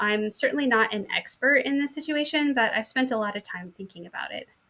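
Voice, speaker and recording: A woman with a bright, sharp tone talks at a fairly quick pace with hardly any pauses, big swings in loudness, and ordinary pitch variation. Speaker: teacher. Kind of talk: conference presentation. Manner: fast.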